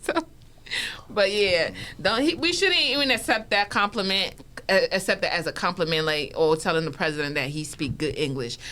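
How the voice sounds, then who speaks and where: Noticeable background noise sits under a woman's medium-pitched voice. She moves at a moderate pace with very wide pitch swings. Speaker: podcast co-host. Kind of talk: casual chat.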